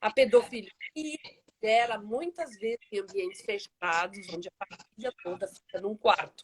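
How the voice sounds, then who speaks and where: Her voice is an ordinary speaking voice, fairly high for a woman, with ordinary pitch variation, big swings in loudness, and a moderate pace, recorded dry and close with no echo. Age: 60s. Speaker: social project founder. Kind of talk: live interview. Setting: Instagram live video call.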